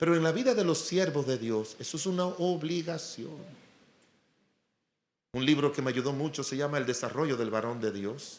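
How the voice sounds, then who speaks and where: Lively in intonation, a man with a fairly high pitch talks at a moderate pace in a normal speaking voice. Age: 60s. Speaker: pastor. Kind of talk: sermon.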